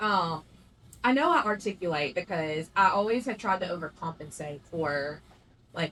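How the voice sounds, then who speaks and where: Over noticeable background noise, a woman with a strong Southern US accent speaks at a fairly low pitch with lively intonation. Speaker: podcast co-host. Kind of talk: casual chat. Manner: sometimes stumbles over words.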